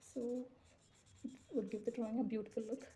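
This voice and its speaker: Soft-spoken and somewhat breathy, a woman's fairly high voice with a dark, mellow tone at a fairly quick pace. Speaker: drawing tutor. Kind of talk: tutorial. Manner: casual, conversational.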